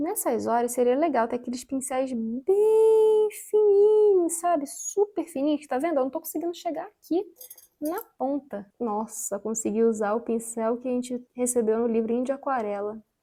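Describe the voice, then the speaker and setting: A woman speaks at a high pitch with very wide swings. Her tone is dark and mellow, her pace moderate. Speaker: craft youtuber. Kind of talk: casual painting tutorial chat.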